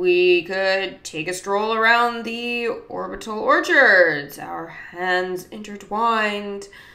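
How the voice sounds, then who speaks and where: Using a put-on character voice, a woman speaks very slowly at a medium pitch. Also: ordinary pitch variation. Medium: read story. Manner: earnest, slightly awkward.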